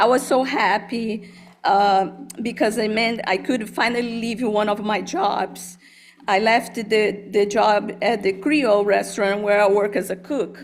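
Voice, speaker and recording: With music in the background, a woman speaks in a Brazilian Portuguese accent. Her pitch is medium, her intonation fairly even and her pace fairly slow. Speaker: college dean. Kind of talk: personal testimony speech. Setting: board meeting, hybrid in-person and Zoom.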